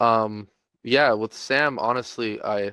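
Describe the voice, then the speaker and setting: A man with an American accent speaks at a medium pitch. The sound is dry and close with no echo, over a quiet background. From California. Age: 20s. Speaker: e-commerce business owner. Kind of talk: testimonial interview. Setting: call. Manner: halting, many fillers.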